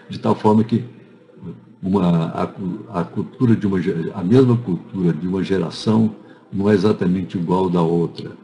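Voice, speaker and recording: Noticeable background noise sits under the speech. The pace is moderate, and the pitch variation is ordinary. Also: man. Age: 80s+. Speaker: anthropology professor. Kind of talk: interview answering students' questions. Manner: halting, many false starts.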